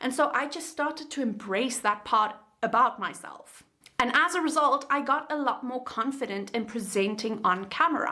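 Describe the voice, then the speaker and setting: With a South African accent, a woman speaks in a raised, projected voice, high-pitched, at a moderate pace with ordinary pitch variation. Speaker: YouTube creator and coach. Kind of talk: tutorial.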